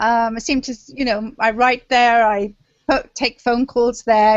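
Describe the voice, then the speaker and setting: The speaker has an English accent. The pace is fairly slow. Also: woman. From London, England. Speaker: memoir author. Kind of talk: interview. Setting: video call.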